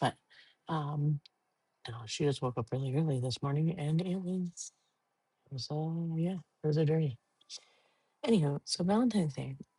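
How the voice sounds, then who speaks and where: Soft-spoken and somewhat breathy, a woman with a very deep, low pitch and a dark, mellow tone speaks with long, frequent pauses in a dry, close sound with no echo. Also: ordinary pitch variation, moderate pace. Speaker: podcaster. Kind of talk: casual chat.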